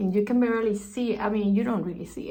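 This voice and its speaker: Somewhat breathy, a woman speaks at a fairly high pitch. Her intonation stays fairly even. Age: 60s. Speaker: beauty vlogger. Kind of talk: tutorial. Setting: bathroom.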